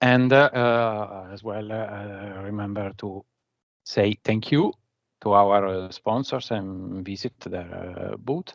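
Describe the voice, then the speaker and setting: A man's fairly low voice in an Italian accent, very slow and fairly even in intonation, with big swings in loudness and a dry, close sound with no echo against a quiet background. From Italy. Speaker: conference speaker, BI manager. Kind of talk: technical presentation. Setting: remote video session from office. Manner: halting, many fillers.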